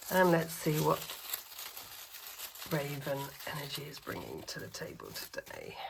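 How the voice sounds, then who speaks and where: The speech has long, frequent pauses and big swings in loudness, with audible room echo and noticeable background noise. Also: woman, moderate pace. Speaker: intuitive puzzle reader. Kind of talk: tarot-style intuitive reading.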